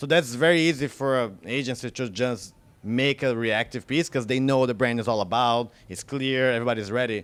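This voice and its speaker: A man with an unremarkable speaking voice at medium pitch, fairly quick, with hardly any pauses and ordinary pitch variation. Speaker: advertising creative, awards jury president. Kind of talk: interview answer, casual panel conversation.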